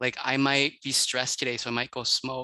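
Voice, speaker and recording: Against a quiet background, a man's medium-pitched voice has a bright, sharp tone and a dry, close sound with no echo. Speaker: public health coordinator. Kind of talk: panel discussion. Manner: fast.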